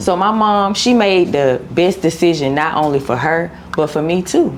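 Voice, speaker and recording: Over noticeable background noise, a woman with an American accent speaks at a moderate pace with a fairly low pitch, lively intonation and very even loudness. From Cobb County, Georgia, US South. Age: 30s. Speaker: content creator. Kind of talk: interview.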